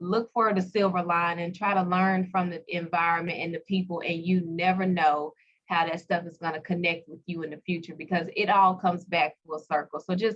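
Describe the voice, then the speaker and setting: A Southern US accent comes through at a moderate pace with fairly even intonation. Loudness swings in big waves. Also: woman. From US South, Pine Bluff, Arkansas. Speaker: skincare entrepreneur. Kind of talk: interview.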